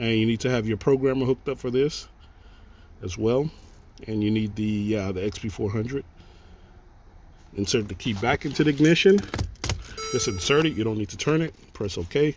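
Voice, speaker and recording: A man speaks at a fairly quick pace in a medium pitch, with ordinary pitch variation. Long, frequent pauses break up his speech, and there is noticeable background noise. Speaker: auto mechanic / locksmith. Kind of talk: tutorial. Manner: casual, conversational.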